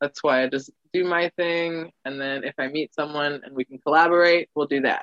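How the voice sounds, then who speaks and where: A woman's very deep, low voice at a moderate pace, fairly even intonation, big swings in loudness, hardly any pauses, and a dry, close sound with no echo. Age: 20s. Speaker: musician and artisan. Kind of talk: casual chat.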